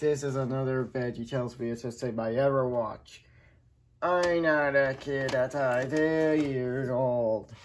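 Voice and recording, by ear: A man speaks at a medium pitch with ordinary pitch variation. His pace is fairly slow.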